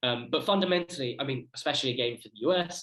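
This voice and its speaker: A man with a British accent at a very fast pace. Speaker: student researcher. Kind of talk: conference presentation.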